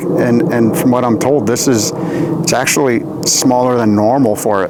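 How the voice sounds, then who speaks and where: Amid noticeable background noise and audible room echo, a man at a medium pitch speaks with lively intonation. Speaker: tree care specialist. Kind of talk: on-site tutorial. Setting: outdoors. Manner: fast; casual with fillers.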